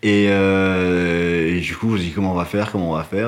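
Over noticeable background noise, a man speaks at a moderate pace in a very deep, low pitch with fairly even intonation. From Morocco. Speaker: martial arts practitioner. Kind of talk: casual chat.

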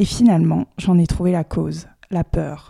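Dark and mellow in tone, a woman's fairly low voice moves at a moderate pace. The sound is dry and close with no echo, on a very clean recording with a silent background. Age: 20s. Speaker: podcast host. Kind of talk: scripted narration.

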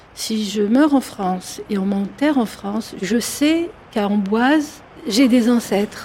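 Against noticeable background noise, a woman with a fairly high pitch speaks at a very slow pace with lively intonation. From Algeria, Algiers. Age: 50s. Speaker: psychologist and author. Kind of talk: interview.

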